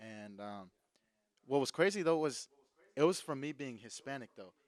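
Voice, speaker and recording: Recorded with a dry, close sound and no echo, a man uses an ordinary speaking voice at medium pitch, with lively intonation, big swings in loudness and a moderate pace. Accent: American. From Alabama, US South (Vestavia). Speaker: podcast co-host. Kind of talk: casual chat.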